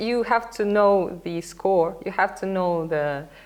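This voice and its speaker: A woman speaks with a Russian accent and ordinary pitch variation. Her pace is fairly slow. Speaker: opera singer. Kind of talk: interview. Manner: halting.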